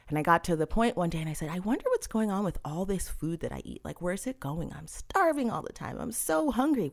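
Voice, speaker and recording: A woman with an American accent talks at a fairly quick pace, her pitch swinging very widely, with vocal fry. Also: hardly any pauses. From Massachusetts. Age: 40s. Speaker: nutritionist. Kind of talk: casual interview chat.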